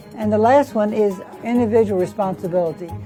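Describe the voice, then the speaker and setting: Over music in the background, a woman talks with a Southern US accent. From US South, south Louisiana. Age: 80s+. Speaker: political activist. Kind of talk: interview monologue. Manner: halting.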